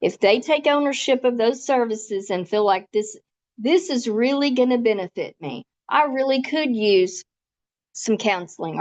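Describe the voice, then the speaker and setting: In a quiet background, a woman speaks at a fairly high pitch with lively intonation. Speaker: volunteer trainer. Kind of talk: training presentation. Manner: fast.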